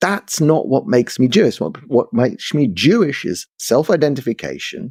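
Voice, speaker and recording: The speaker has a London accent. The sound is dry and close with no echo, in a very clean recording with a silent background. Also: man. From London, England. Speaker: commentator. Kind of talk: interview discussion. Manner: animated, repetitive restarts.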